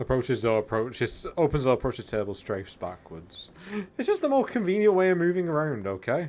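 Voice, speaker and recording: A quiet man talks at a fairly quick pace in a fairly high voice. His pitch swings very widely. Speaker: video game streamer. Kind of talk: live gameplay commentary.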